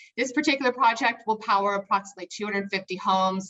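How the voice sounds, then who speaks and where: This woman has an unremarkable speaking voice at a medium pitch with ordinary pitch variation. The sound is dry and close, with no echo. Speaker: solar developer pitching services. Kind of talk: sales pitch. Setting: video call.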